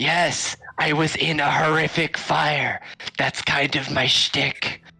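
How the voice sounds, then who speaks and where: A raspy, put-on character voice sits at a middle pitch and moves at a fairly slow pace. Faint music plays in the background. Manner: aggressive, furious.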